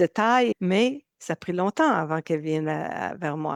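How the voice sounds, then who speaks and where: A woman's fairly low voice in a Canadian French accent, at a moderate pace with lively intonation, dry and close with no echo. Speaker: nutrition coach. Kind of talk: interview.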